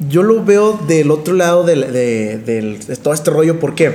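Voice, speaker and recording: This man speaks fairly slowly while noticeable background noise carries on. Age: 20s. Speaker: podcast co-host, speaker. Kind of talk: casual chat.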